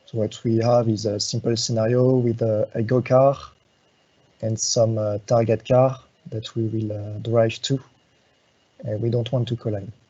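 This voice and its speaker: Somewhat breathy and medium pitched, a man speaks at a moderate pace in a monotone, flat intonation, leaving long, frequent pauses. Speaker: software support engineer. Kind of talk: live tutorial. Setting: live web workshop. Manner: halting, many fillers.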